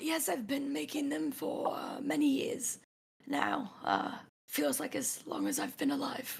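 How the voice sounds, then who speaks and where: Raspy and high-pitched, a woman talks at a fairly slow pace. She is doing a put-on character voice. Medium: actual play. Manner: hesitant, halting, polite.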